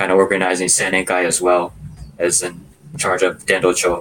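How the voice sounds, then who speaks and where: A man with a Californian accent. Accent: Californian American English. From Los Angeles, California. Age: 30s. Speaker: religious youth association president. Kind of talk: interview.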